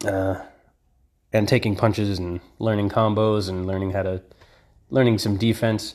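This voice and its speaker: A man speaks in a flat monotone with long, frequent pauses. The recording is very clean, with a silent background. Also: moderate pace. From United States. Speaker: podcaster. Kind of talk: casual monologue. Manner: rambling, hesitant with many fillers.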